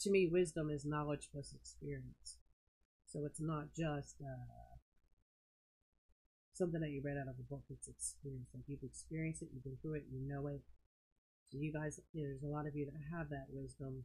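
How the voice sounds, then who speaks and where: Speaking softly at a moderate pace, the voice leaves long, frequent pauses. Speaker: live-stream pearl seller. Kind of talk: casual live-stream chat. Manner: soft-spoken, quiet.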